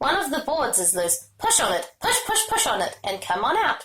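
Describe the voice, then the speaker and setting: A woman uses a put-on character voice with a high pitch. Her pitch swings very widely at a moderate pace. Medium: read story. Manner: fast, repeats words two or three times.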